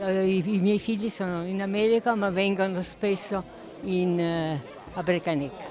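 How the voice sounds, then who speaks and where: At a fairly slow pace, a woman speaks at medium pitch with fairly even intonation, with crowd noise in the background and audible room echo. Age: 80s+. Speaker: festival attendee. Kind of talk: interview.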